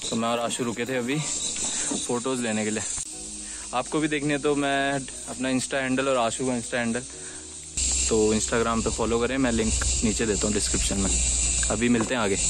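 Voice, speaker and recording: A man's voice at a moderate pace, very even in loudness and fairly even in intonation, dry with no echo, over noticeable background noise. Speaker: travel vlogger. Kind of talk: casual vlog chat. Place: open country. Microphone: phone near.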